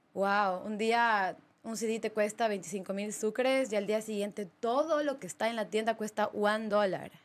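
Speaking at a fairly slow pace with hardly any pauses, a woman keeps her fairly high voice to fairly even intonation. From Ecuador, Ambato; Ecuador. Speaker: DJ; podcast guest, DJ. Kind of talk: casual interview chat. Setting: studio. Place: studio. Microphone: studio mic.

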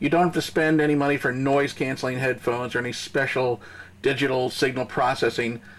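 At a fairly quick pace, a man talks in a medium pitch with a fairly bright tone and little pitch movement.

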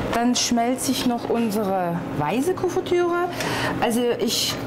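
The pace is very slow as a woman talks. There is noticeable background noise. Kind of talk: cooking tutorial. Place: kitchen.

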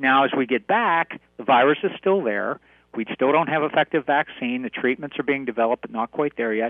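The speech moves at a fairly quick pace with ordinary pitch variation. The background is quiet, and the sound is dry with no echo. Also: man. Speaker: radio guest. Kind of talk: interview answer.

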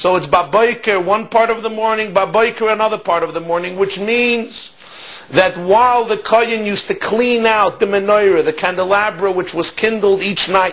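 This voice moves at a moderate pace with fairly even intonation. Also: man, high pitch for a man. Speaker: religious teacher. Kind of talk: lecture. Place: office.

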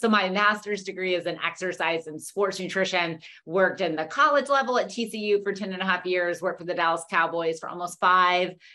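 A woman talks at a fairly quick pace with hardly any pauses, her tone bright and sharp. The background is quiet. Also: ordinary pitch variation. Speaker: presenter. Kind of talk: webinar lecture. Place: home room. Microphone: webcam.

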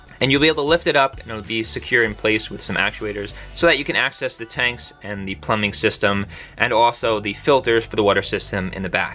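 Speech rushes at a very fast pace with big swings in loudness and ordinary pitch variation, over faint music in the background. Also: man. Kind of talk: casual tour narration. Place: bus. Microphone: phone near.

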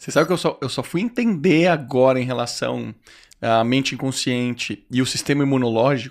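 A man's speech, set against a quiet background, keeps a moderate pace and shows ordinary pitch variation. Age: 30s. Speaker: podcast host. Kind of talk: casual interview chat. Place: studio. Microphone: studio mic.

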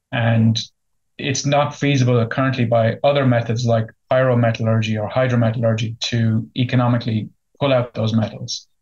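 With an Irish accent, a man speaks at a fairly quick pace in a monotone, flat intonation. His voice is somewhat breathy, and the background is quiet. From Ireland. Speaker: company CEO. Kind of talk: business interview. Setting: remote interview. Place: office. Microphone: video call.

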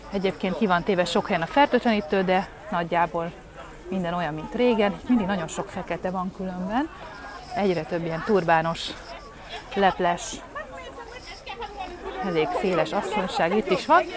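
A woman speaks with long, frequent pauses. The sound is dry with no echo, though background noise is noticeable. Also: ordinary pitch variation, moderate pace. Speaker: vlogger. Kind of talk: casual vlog chat. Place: market. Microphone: earbuds.

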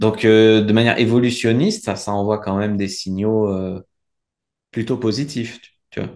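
A man with a plain, everyday voice, fairly low in pitch, with fairly even intonation at a fairly slow pace over a quiet background. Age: 30s. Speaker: dating coach. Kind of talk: casual interview. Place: home room. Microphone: video call.

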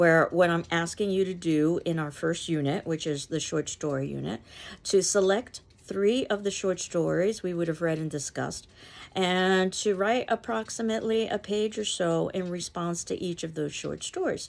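A woman at a fairly low pitch with ordinary pitch variation, moderate pace. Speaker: literature instructor. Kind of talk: lecture. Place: home room. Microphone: phone near.

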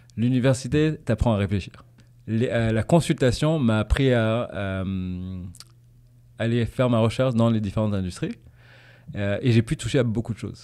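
Against a quiet background, a man with a medium pitch talks at a moderate pace with ordinary pitch variation and long, frequent pauses. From Tanzania, raised in Paris and English boarding school; Tanzania. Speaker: business manager for artists; podcast guest. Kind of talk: casual interview. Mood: relaxed, friendly. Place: studio. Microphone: studio mic.

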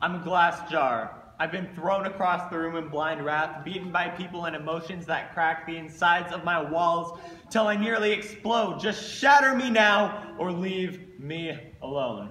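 Here a man speaks in a high pitch. Audible room echo surrounds his voice. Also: ordinary pitch variation, moderate pace. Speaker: slam poet. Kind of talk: slam poetry performance. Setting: live venue. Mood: angsty, intense. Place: stage. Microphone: camera far.

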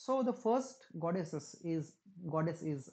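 This man has a fairly high pitch and a dark, mellow tone. His intonation is lively. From India. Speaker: english lecturer. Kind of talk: lecture. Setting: recorded online class. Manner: halting. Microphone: webcam.

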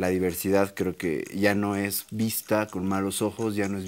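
This is a man speaking. His pitch sits fairly low. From Bolivia. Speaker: TV panelist. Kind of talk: panel debate. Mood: argumentative, mildly provocative. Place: studio. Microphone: lapel.

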